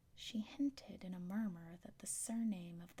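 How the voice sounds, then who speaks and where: The speaker is soft-spoken. The pace is moderate. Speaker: ASMR reader. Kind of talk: audiobook reading.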